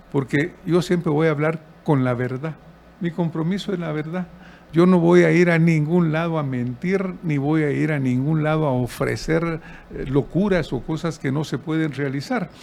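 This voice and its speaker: Over noticeable background noise, a man speaks with a fairly high pitch and ordinary pitch variation. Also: moderate pace. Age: 70s. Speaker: presidential candidate. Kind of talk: interview.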